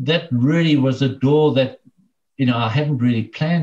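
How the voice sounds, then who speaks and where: At a moderate pace, a man talks in a somewhat breathy, dark, mellow voice of medium pitch with ordinary pitch variation. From South Africa, KwaZulu-Natal. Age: 50s. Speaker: business owner. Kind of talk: interview.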